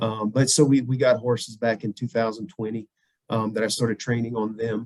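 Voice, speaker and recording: With a slight southern Louisiana accent, a man speaks at a fairly quick pace in a medium pitch with monotone, flat intonation. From US South, southwest Louisiana. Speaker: veterinarian and bird hunter. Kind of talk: casual podcast interview.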